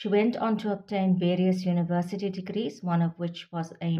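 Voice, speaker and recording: A woman talks at a moderate pace. Her tone is dark and mellow, and somewhat breathy. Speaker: vlogger. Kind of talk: informative vlog talk. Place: home room. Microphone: phone near.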